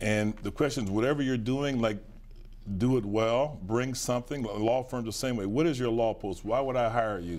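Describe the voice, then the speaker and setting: A man with an American accent, ordinary pitch variation and a moderate pace. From western Pennsylvania, near Pittsburgh; Pennsylvania. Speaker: businessman and lawyer; lawyer. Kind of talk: interview. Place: studio. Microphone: lapel.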